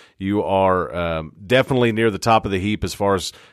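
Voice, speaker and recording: A man's ordinary speaking voice, fairly low in pitch, with fairly even intonation. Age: 30s. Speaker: sports podcast host. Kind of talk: casual sports chat.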